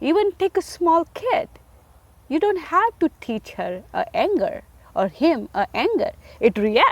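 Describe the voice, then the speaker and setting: A woman's extremely high voice, with very wide pitch swings, moves at a fairly slow pace in a dry, close sound with no echo, amid noticeable background noise. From India. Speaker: single mother sharing faith story. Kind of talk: testimony.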